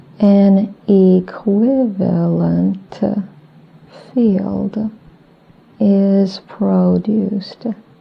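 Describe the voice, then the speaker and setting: A woman at a very slow pace, with long, frequent pauses and noticeable background noise. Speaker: trance channeler. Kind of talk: trance channeling answers. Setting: old cassette tape recording.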